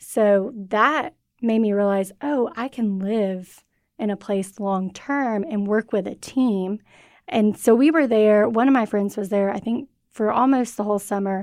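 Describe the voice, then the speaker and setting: A woman speaks with an American accent in a normal speaking voice at a fairly high pitch. Her pace is fairly slow, with ordinary pitch variation. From US South, Georgia. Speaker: seminary student and former missionary. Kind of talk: testimony.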